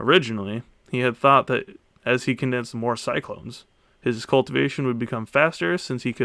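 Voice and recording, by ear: Someone is heard reading aloud in a natural voice.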